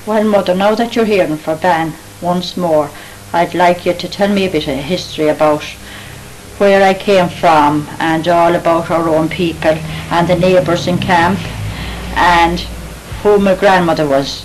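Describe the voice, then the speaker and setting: Over noticeable background noise, a woman with a fairly low pitch speaks fairly slowly, her intonation fairly even. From Ireland. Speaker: interviewer.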